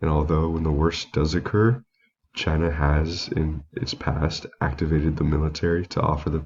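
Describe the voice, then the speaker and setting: Somewhat breathy, a man speaks at a moderate pace with a very deep, low pitch. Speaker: student giving a class presentation. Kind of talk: recorded class presentation. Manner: reading from prepared slides.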